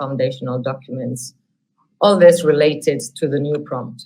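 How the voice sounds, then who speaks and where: In a Catalan accent, a woman speaks with a very deep, low pitch. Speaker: academic researcher. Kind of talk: webinar software demonstration.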